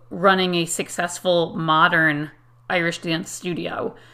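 In an American accent, a woman speaks with a bright, sharp tone at a fairly low pitch, captured in a very clean recording with a silent background. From Connecticut, US. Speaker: podcast host and Irish dance teacher. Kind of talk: solo podcast monologue.

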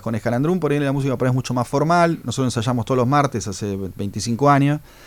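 He has a normal speaking voice, pitched mid-range for a man. His speech moves along fairly quickly. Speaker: jazz musician. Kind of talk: radio interview. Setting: radio studio.

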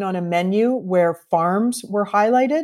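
With a Canadian accent, a woman talks at a fairly slow pace in an unremarkable speaking voice, medium in pitch with ordinary pitch variation. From Canada. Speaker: bartender and bitters company founder. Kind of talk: interview.

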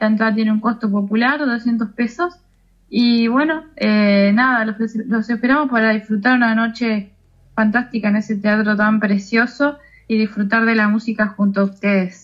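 The voice is somewhat breathy, with fairly even intonation, a moderate pace and very even loudness. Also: woman, fairly high pitch for a woman. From Uruguay, Colonia department. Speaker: tango singer and psychologist. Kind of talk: interview.

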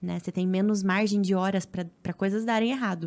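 A woman's medium-pitched voice at a moderate pace, with fairly even intonation, on a very clean recording with a silent background. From Paraná, Brazil (Cascavel, interior). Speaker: triathlete and influencer. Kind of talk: casual chat.

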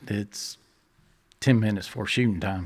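A man speaks with a Texan accent at a fairly low pitch. His pitch varies in an ordinary way. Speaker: hunting guide and dad. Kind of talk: casual conversational interview.

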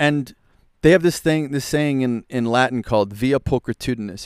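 In an ordinary speaking voice, a man with an American accent talks at a moderate pace with ordinary pitch variation, the sound dry and close with no echo on a very clean recording with a silent background. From US Northeast, Philadelphia. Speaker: musician and entrepreneur. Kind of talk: casual chat. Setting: live recording at a festival.

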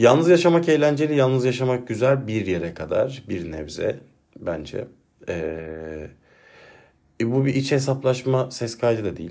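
With a dark, mellow tone, a man speaks at a medium pitch and a fairly slow pace, his pitch swinging very widely. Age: 30s. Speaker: solo podcaster and teacher. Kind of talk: personal monologue. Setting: alone at home at a desk. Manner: reflective, calmer than usual.

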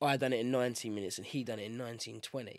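Very clean recording, silent background. A man with a British accent speaks very fast at a medium pitch. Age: 20s. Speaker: MMA fighter. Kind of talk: casual interview.

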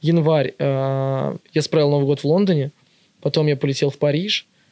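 A man at a moderate pace, with a fairly high pitch, fairly even intonation and an ordinary speaking voice. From Russia, Ivanovo region (Yuryevets). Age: 20s. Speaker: vintage shop owner. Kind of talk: casual chat.

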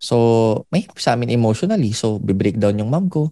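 A man's fairly low, dark, mellow voice at a moderate pace, dry and close with no echo. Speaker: motivational speaker. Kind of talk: testimony.

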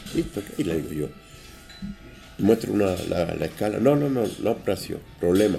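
With music in the background, a man speaks in a fairly low voice that makes very wide pitch swings. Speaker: hotel maître d'. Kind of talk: interview. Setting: mountain hotel, on location.

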